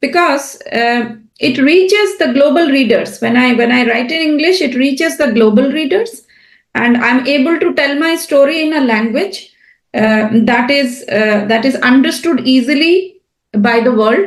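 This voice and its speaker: With a Bengali accent, a woman speaks at a high pitch and a fairly slow pace, her intonation lively and the room echo audible. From India (Bengali). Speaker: writer and translator. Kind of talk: podcast interview. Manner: hesitant with fillers.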